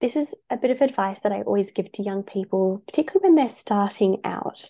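Speaking at a fairly quick pace in an Australian accent, a woman has a dark, mellow tone and lively intonation. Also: quiet background. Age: 20s. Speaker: youth advocacy founder and CEO. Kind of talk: interview.

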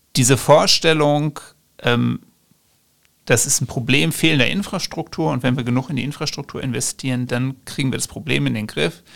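Vocal fry runs through a man's medium-pitched voice. He keeps a moderate pace with ordinary pitch variation. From western Germany (Ruhr area, Bochum). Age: 30s. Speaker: political scientist, author. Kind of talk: interview.

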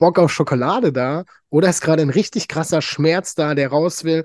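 A fairly high-pitched man at a fairly quick pace, with lively intonation. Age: 30s. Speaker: podcast host. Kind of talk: casual chat.

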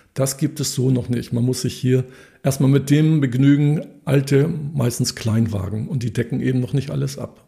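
Somewhat breathy and dark, mellow in tone, the man speaks at a medium pitch with fairly even intonation. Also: moderate pace. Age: 60s. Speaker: economist and cooperative member. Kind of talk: interview. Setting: office.

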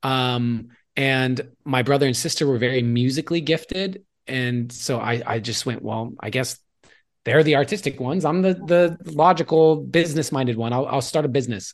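The man's pitch is medium, with ordinary pitch variation and a moderate pace. He has an unremarkable speaking voice, and the background is quiet. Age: 30s. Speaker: artist and entrepreneur, mentor. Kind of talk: interview.

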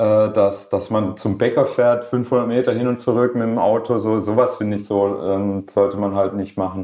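A man with a medium pitch and fairly even intonation keeps to a moderate tempo. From Swabia, Germany (Schorndorf near Stuttgart). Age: 40s. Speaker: rapper. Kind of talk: casual interview. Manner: hesitant, many fillers.

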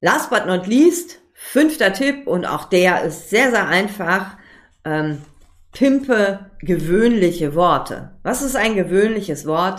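A woman speaks at a medium pitch with lively intonation. Audible echo fills the room. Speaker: podcast host, copywriter. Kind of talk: solo podcast tutorial. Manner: fast, talks without pause; casual, many filler sounds.

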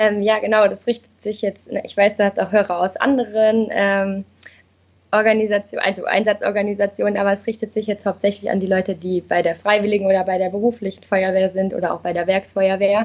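The speech moves at a fairly quick pace. The intonation stays monotone and flat. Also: woman, medium pitch for a woman. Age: 20s. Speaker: sociology and psychology student. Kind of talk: interview. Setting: video call.

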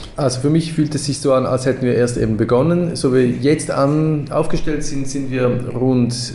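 Medium pitch from a man at a moderate pace with ordinary pitch variation, plus noticeable background noise and audible room echo. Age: 40s. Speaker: education co-founder. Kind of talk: casual interview. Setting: in person at office. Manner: halting, many fillers.

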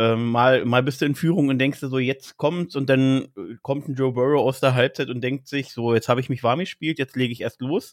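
The speaker has an unremarkable speaking voice with fairly even intonation. The pace is moderate. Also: man, medium pitch for a man. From Berlin, Germany. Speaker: trainee care worker and fan podcaster. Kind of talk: casual chat.

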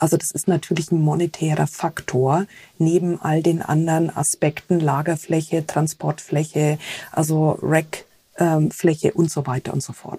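A woman speaks at a very deep, low pitch with a dark, mellow tone. Her voice is somewhat breathy and her intonation monotone and flat. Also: fairly slow pace. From Germany, rural. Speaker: tech company sustainability manager. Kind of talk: interview.

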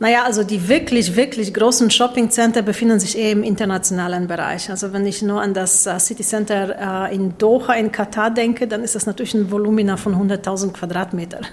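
A woman with a medium pitch speaks at a fairly quick pace with fairly even intonation and hardly any pauses over noticeable background noise. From Poland. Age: 40s. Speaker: business executive. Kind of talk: interview.

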